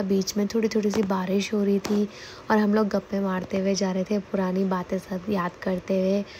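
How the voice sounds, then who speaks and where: Her medium-pitched voice stays monotone and flat as the woman speaks at a fairly slow pace. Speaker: vlogger. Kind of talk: travel vlog voiceover.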